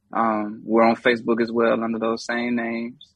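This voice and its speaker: A man with a North Carolina accent, medium-pitched, at a moderate pace. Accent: Southern US, North Carolina. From US South, Charlotte, North Carolina. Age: 30s. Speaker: hip hop artist. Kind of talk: casual chat.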